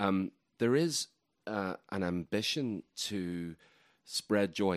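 Here a man talks in an Irish accent at a fairly low pitch. His pitch swings very widely. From Ireland. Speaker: writer and festival organizer. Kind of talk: interview conversation.

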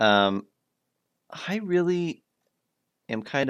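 A man's voice with lively intonation. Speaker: podcast host. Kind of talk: casual chat.

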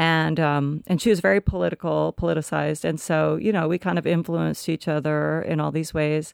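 Speaking at a fairly quick clip with hardly any pauses, the voice comes in an American accent over a very clean recording with a silent background. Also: woman. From Olympia, Washington (US Pacific Northwest). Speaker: punk musician and singer. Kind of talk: casual interview chat.

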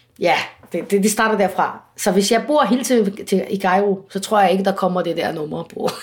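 This is a woman's voice at a medium pitch. She talks at a moderate pace. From Egypt. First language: Arabic (speaking Danish). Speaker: singer. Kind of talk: interview. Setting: at home. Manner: halting.

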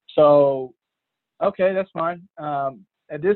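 There is a plain, everyday voice here, a man's, fairly high in pitch with ordinary pitch variation. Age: 20s. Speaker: professional basketball player. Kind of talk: casual interview.

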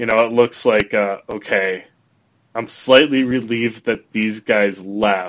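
A man with an ordinary speaking voice keeps a fairly slow pace, his medium pitch held in fairly even intonation. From Minnesota. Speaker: podcast host. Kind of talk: casual chat.

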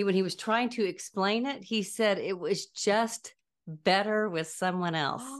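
A woman with a plain, everyday voice speaks at a moderate pace in a medium pitch. Her pitch variation is ordinary, over a quiet background. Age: 60s. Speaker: podcast co-host. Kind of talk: casual chat.

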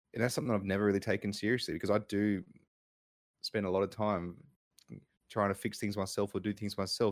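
Very fast and marked by long, frequent pauses, a man speaks at a fairly low pitch with monotone, flat intonation. The recording is very clean, with a silent background. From Brisbane, Queensland, Australia. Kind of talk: casual chat.

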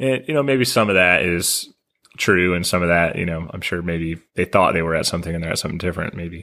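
On a very clean recording with a silent background, a man with an American accent speaks very fast, his very deep, low voice bright and sharp in tone with ordinary pitch variation. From US South, Nashville. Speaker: podcast host, former pilot. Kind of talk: casual interview; scripted outro.

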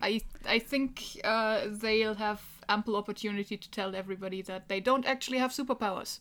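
Fairly quick and fairly even in intonation, this woman's voice sits at a fairly high pitch. It is an unremarkable speaking voice. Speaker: guest player in a tabletop roleplaying game. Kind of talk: casual tabletop roleplaying game session.

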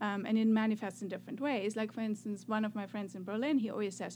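This woman talks with a German accent. Her voice is fairly high and somewhat breathy. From Germany (north, then Swabia). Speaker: professor. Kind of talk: interview. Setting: studio.

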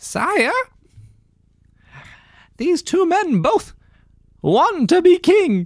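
A put-on character voice at an extremely high pitch moves at a very slow pace, with long, frequent pauses. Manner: groveling, servile.

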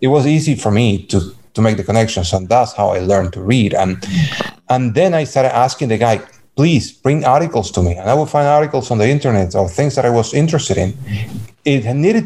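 A man with a Cuban accent speaks at a fairly quick pace in a medium pitch, his dark, mellow tone somewhat breathy and his intonation lively. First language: Spanish. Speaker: blind community member. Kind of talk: interview.

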